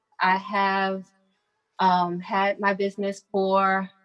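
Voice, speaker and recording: A medium-pitched woman with an American accent speaks with music in the background. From Brooklyn, New York. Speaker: boutique owner. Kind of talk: business presentation on video call. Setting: video call from her boutique.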